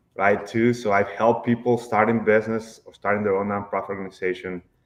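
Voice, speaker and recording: Against a quiet background, a man with a fairly low pitch speaks in a flat monotone, his loudness swinging widely. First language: Spanish. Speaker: accountant. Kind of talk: podcast interview. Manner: hesitant, many fillers.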